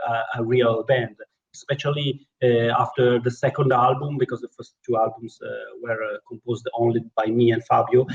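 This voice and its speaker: Speaking with an Italian accent, a man keeps a moderate pace and ordinary pitch variation. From Italy. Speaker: keyboard player in a rock band. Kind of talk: interview. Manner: halting.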